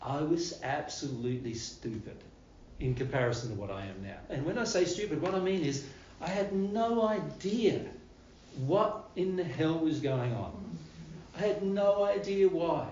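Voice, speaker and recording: A man's high-pitched voice with an Australian accent and very wide pitch swings, amid noticeable background noise and audible room echo. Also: moderate pace. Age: 60s. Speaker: spiritual teacher. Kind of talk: spiritual talk to live audience. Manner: casual, repetitive phrasing.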